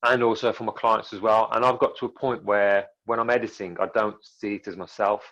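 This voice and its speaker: A man with an English Midlands accent, medium pitch and monotone, flat intonation, at a moderate pace against a quiet background. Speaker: filmmaker. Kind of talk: interview. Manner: fairly monotone.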